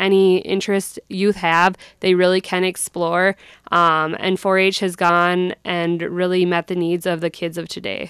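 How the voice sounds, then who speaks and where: A woman speaks at a moderate pace with an Upper Midwest accent. The sound is dry and close with no echo, and the recording is very clean with a silent background. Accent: Upper Midwest (Minnesota). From southern Minnesota (Brown County). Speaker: youth program educator. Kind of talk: radio interview. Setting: radio studio.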